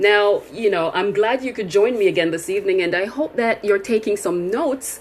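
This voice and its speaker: Against noticeable background noise, a woman speaks at medium pitch with very wide pitch swings. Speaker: leadership coach. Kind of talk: online webinar presentation. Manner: halting, tripping over words.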